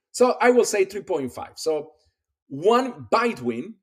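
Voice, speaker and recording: His pitch swings very widely as the man speaks with a Spanish accent. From Colombia. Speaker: pediatric dentist and radiology expert. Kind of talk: casual interview chat.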